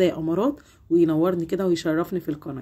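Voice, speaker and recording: Fairly quick speech from a woman, dark and mellow in tone, fairly low in pitch, with fairly even intonation. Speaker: home cleaning vlogger. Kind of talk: tutorial. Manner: warm, chatty.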